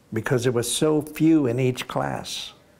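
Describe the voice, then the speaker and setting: A man with a Florida accent speaks at a very slow pace. Noticeable background noise runs underneath. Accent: US Southern (Florida). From Florida, Palm Bay/Melbourne. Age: 80s+. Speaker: war veteran. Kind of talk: oral history interview. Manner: halting, with repetitions.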